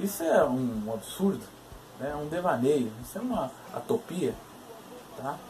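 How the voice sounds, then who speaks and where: Noticeable background noise beneath very wide pitch swings. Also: man. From Minas Gerais interior, Brazil. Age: 20s. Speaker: philosopher vlogger. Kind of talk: video monologue. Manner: halting, many fillers.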